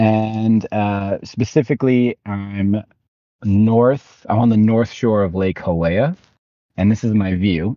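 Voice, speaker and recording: A man's fairly low voice with an American accent, very slow pace, fairly even intonation. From USA. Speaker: podcast co-host. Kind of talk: casual chat.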